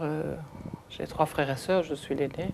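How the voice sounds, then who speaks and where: This woman has a very deep, low pitch and vocal fry. She talks at a moderate pace with fairly even intonation. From Belgium (Hainaut), early childhood in Congo. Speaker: interviewee recounting migration history. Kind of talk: oral history testimony. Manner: halting, many hesitations.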